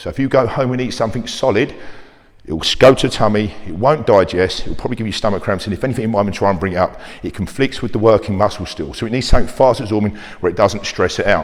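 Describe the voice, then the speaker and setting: Talking at a very fast pace, a man with a fairly low pitch uses an animated tone and ordinary pitch variation. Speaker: personal trainer. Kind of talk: fitness talk to camera.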